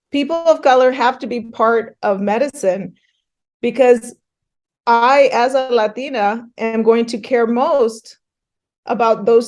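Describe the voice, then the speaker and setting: This woman has a plain, everyday voice at a fairly high pitch. She talks at a fairly slow pace with fairly even intonation. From Northern California. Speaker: physician. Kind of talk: interview.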